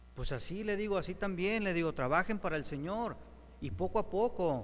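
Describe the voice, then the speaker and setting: There is audible room echo around a man with a high voice. He speaks at a moderate pace with lively intonation. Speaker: preacher. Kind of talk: sermon.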